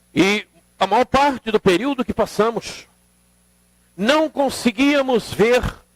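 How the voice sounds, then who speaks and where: In a dry, close recording with no echo, a man speaks at a fairly slow pace. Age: 70s. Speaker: spiritist lecturer. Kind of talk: seminar lecture.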